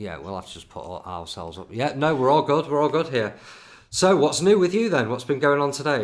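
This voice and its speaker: A man with a Lincolnshire accent talks at a fairly quick pace in a fairly high pitch, with vocal fry, very wide pitch swings and big swings in loudness. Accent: northern English (Lincolnshire). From Grimsby, northern England. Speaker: podcast host. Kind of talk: casual interview chat. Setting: live video stream.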